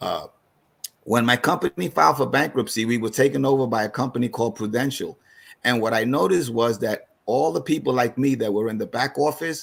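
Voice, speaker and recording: Medium-pitched man with a New York accent, ordinary pitch variation and a fairly quick pace. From New York City (East Harlem). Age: 60s. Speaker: financial advisor. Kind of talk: seminar presentation. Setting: online video call. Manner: halting.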